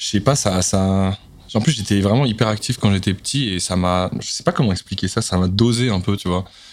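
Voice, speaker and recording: A man with an ordinary speaking voice talks at a moderate pace, fairly low in pitch, with ordinary pitch variation. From Paris, 12th arrondissement. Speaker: singer and rapper. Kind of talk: casual chat.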